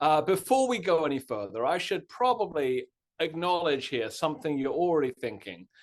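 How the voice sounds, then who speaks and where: Against a quiet background, a man with a British accent speaks at a moderate pace in a fairly high voice that swings very widely in pitch. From Britain. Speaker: history professor. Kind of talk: lecture. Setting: Zoom webinar. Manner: casual, many filler words.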